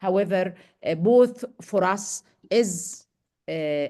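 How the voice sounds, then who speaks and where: A voice with an Arabic accent is heard over a quiet background. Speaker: medical education trainer. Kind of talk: lecture Q&A.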